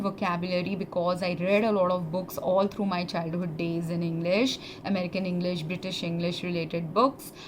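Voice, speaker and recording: A moderate-paced voice with audible room echo and noticeable background noise. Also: woman. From India. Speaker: former pharmacist. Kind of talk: personal testimony monologue. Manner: halting, many fillers.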